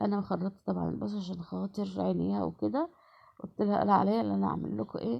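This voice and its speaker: This woman's voice sits fairly low. Her pitch swings very widely. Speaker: home cook. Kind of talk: cooking tutorial. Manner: conversational, halting with fillers.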